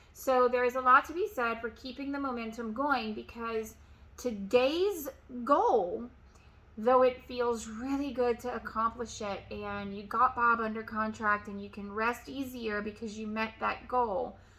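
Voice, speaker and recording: The loudness swings widely throughout. Delivery is at a fairly slow pace with fairly even intonation. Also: woman, fairly high pitch for a woman. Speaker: real estate agent and sales coach. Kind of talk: motivational tutorial.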